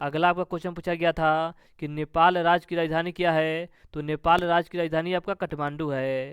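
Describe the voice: A man's clear, smooth voice, fairly high in pitch, with fairly even intonation and a fairly quick pace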